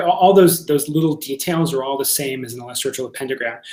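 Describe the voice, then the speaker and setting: Noticeable background noise sits behind a man speaking very fast. His pitch is fairly high, with ordinary pitch variation. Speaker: workshop teacher of ritual magick. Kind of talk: lecture. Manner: halting, many fillers and repeats.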